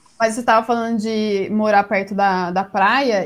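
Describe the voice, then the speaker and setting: Noticeable background noise surrounds the voice. A woman speaks with a fairly high pitch. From interior of São Paulo state (Jundiaí). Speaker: booktuber. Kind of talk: casual chat. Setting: live-streamed podcast, remote call.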